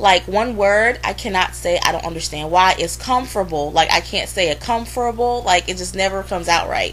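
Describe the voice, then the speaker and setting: A woman talking at a fairly quick pace with hardly any pauses, over noticeable background noise. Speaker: vlogger. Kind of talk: casual vlog rant. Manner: animated, blunt.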